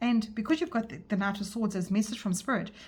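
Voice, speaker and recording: A woman's somewhat breathy voice moves at a fairly quick pace, its pitch varying in an ordinary way. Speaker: tarot reader. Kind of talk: tarot reading monologue. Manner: fast; hesitant, with fillers and restarts.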